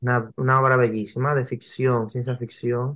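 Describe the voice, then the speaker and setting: His intonation stays monotone and flat. The man's pitch is medium. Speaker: graphic novelist. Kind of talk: interview.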